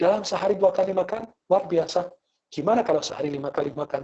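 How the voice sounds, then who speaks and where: A man speaks at a very fast pace in a high-pitched voice with ordinary pitch variation. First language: Arabic (speaking Indonesian). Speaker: Islamic preacher. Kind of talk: religious lecture with humorous banter. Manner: animated.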